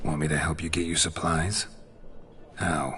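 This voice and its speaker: A man does a put-on character voice at a very deep, low pitch over clear background noise. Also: moderate pace. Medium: short film. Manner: terse, deadpan.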